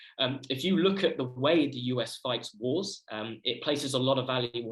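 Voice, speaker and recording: Somewhat breathy, a man speaks with a British accent at a medium pitch with ordinary pitch variation. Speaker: student researcher. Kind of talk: conference presentation. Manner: fast.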